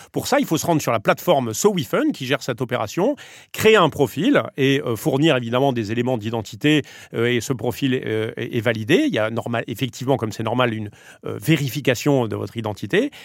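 On a very clean recording with a silent background, a man with an unremarkable speaking voice speaks fairly quickly at a medium pitch with ordinary pitch variation. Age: 40s. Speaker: media company co-founder and president. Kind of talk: interview.

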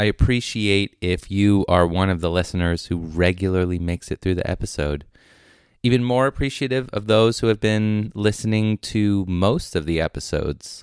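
This is a normal speaking voice from a man with an American accent, fairly low in pitch, with ordinary pitch variation at a moderate pace. The sound is dry and close with no echo, on a very clean recording with a silent background. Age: young. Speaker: podcast host. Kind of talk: scripted narration; casual chat.

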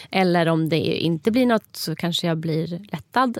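Heard in a very clean recording with a silent background and a dry, close sound with no echo, a woman with a fairly low pitch talks at a very slow pace with ordinary pitch variation. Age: 30s. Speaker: podcast host. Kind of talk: casual chat.

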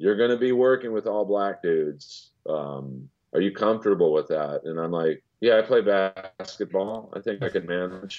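A man talks in a normal speaking voice at a moderate pace, pitched fairly low with ordinary pitch variation. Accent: American. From US West Coast, Los Angeles. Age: 50s. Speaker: comedian and voiceover actor. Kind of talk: casual chat.

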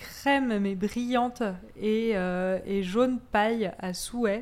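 A woman speaks at a fairly high pitch. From Corsica and Auvergne, France. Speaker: cheesemonger. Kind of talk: casual chat.

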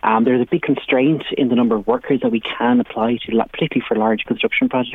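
Speaking at a very fast pace with hardly any pauses, a man keeps a medium pitch and very even loudness. Noticeable background noise runs underneath. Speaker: business policy director. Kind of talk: radio interview.

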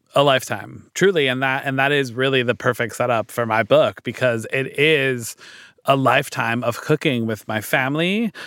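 At a moderate pace, a man with a normal speaking voice and medium pitch speaks with ordinary pitch variation. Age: 40s. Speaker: cookbook author and food influencer. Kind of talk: casual chat.

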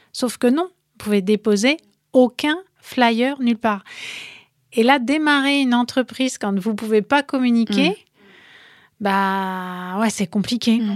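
The woman's fairly high voice has ordinary pitch variation and long, frequent pauses, recorded with a dry, close sound and no echo. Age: 40s. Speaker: entrepreneur, co-founder of a clothing brand. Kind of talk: interview.

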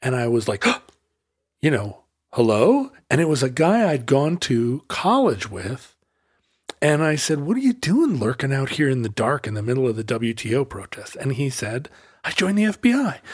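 Somewhat breathy, a man speaks at a moderate pace with lively intonation in a very clean recording with a silent background. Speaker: podcast host. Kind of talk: casual banter between co-hosts.

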